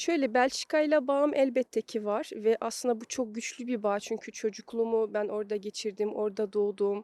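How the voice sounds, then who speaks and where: Dry and close with no echo, a woman's voice keeps a moderate pace and fairly even intonation. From Belgium, Brussels. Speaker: psychologist. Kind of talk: interview. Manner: halting, many fillers.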